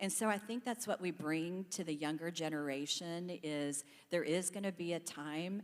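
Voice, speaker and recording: A woman with a plain, everyday voice and an American accent speaks at a fairly slow pace, her fairly low pitch showing ordinary variation. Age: 60s. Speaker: panelist, staffing company employee. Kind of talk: panel discussion.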